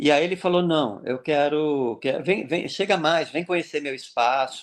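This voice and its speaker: The background stays quiet. A man talks fairly slowly, and his pitch varies in an ordinary way. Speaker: clown and social entrepreneur. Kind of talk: interview. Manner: animated.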